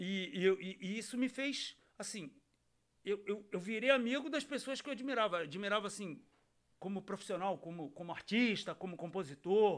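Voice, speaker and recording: Against a quiet background, a man with a high pitch speaks at a moderate pace, with lively intonation and big swings in loudness. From Rio de Janeiro. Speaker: podcast host and radio presenter; podcast host, radio presenter. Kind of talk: casual interview. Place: studio. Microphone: studio mic.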